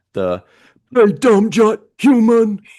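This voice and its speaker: A put-on character voice at a fairly high pitch. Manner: gruff, insulting.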